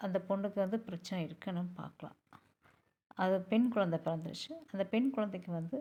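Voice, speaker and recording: Her voice is somewhat breathy, with a dark, mellow tone. The woman speaks at a medium pitch with ordinary pitch variation. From Pollachi, Coimbatore district, Tamil Nadu. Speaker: astrologer. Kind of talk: tutorial.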